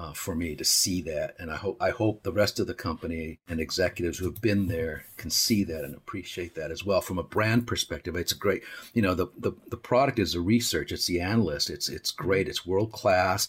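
Fairly quick in pace, a man speaks in a very deep, low voice with ordinary pitch variation. His delivery is somewhat breathy. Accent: American. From Arizona, US Southwest (Tucson). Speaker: creative director. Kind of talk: interview. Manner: halting, frequent fillers and repetitions.

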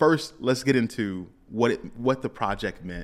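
A man with an unremarkable speaking voice, ordinary pitch variation and a moderate pace comes through on a very clean recording with a silent background. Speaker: podcast host. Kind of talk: casual interview chat.

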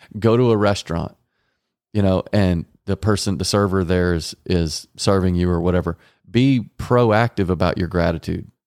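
A man with an American accent and a very deep, low pitch, with ordinary pitch variation at a moderate pace, in a very clean, dry, close recording with no echo and a silent background. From Texas, Garland. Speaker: marriage podcast host. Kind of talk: casual chat.

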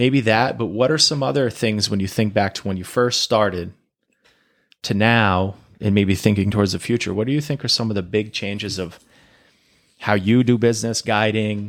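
On a very clean recording with a silent background, a man with an American accent speaks at a moderate pace in a normal speaking voice with ordinary pitch variation. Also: fairly low pitch for a man. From Maine, US. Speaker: podcast host and hunting guide. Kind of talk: casual chat.

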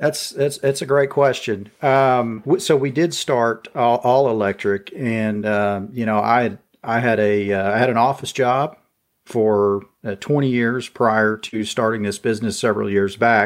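Over a silent background in a very clean recording, a man speaks at a fairly slow pace and medium pitch with ordinary pitch variation. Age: 40s. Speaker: lawn care business owner. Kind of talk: interview. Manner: hesitant, many fillers.

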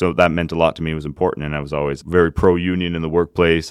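A man with a Canadian accent speaks at a very fast pace in a very deep, low pitch with monotone, flat intonation. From Acadian, Canada. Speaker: union leader. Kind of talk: interview.

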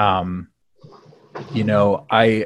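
A man with an American accent speaks at a very slow pace. His pitch is fairly low. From US Midwest (South Bend, Indiana). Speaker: nonprofit relationship manager, former campaign staffer. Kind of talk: casual interview.

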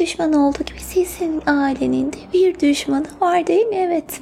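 The tone is playful yet serious. Noticeable background noise runs under the voice. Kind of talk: asmr role-play as a fortune teller, reading coffee grounds and palm. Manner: playful and teasing, mock-serious, with giggles and pet names; soft-spoken, slow, soothing, coaxing the listener to relax and breathe.

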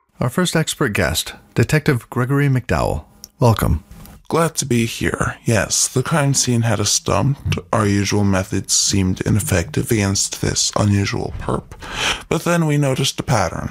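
This man has a plain, everyday voice at a medium pitch, with lively intonation. He talks at a moderate pace, and his loudness stays very even. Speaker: co-host sidekick. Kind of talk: scripted banter with in-character detective lines during story.

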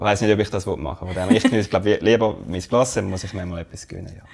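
Man with a Swiss accent, fairly low in pitch, with ordinary pitch variation and a moderate pace. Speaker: podcast co-host, finance researcher. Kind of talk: casual chat.

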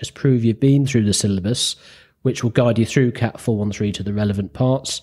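A man with a northern English accent, medium pitch, ordinary pitch variation and a dark, mellow tone on a very clean recording with a silent background. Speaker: radio telephony examiner and flight instructor. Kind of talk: casual interview chat.

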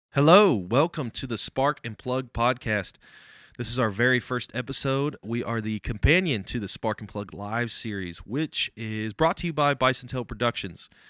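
On a very clean recording with a silent background and a dry, close sound with no echo, a man with an American accent talks at a moderate pace, medium pitch and ordinary pitch variation. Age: 20s. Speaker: podcast host. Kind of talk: casual chat. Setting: studio. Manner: talkative.

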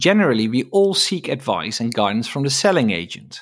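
In a very clean recording with a silent background, a man with a Dutch accent talks at a fairly quick pace, his pitch swinging very widely. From Netherlands. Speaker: estate agent. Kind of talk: solo podcast monologue.

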